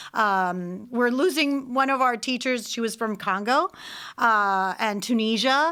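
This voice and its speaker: A woman with a Spanish accent speaks at a fairly slow pace in a bright, sharp tone. Her pitch is fairly high with ordinary variation, on a very clean recording with a silent background. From Puerto Rico, San Juan. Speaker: language school director and Spanish teacher. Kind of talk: radio interview.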